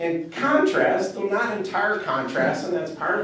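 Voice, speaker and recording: Speaking at a fairly slow pace in a Wisconsin accent, a man shows ordinary pitch variation against audible room echo and noticeable background noise. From Wisconsin, Platteville. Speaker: professor. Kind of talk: panel discussion, partly reading prepared remarks. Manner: halting, many fillers.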